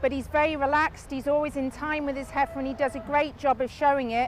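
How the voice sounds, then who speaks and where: In a Lancashire accent, a woman speaks loudly at a high pitch and a fairly quick pace. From northern England, Lancashire. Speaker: livestock show judge. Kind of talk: judge's placing reasons to ringside audience. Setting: livestock show ring. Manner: loud, projecting.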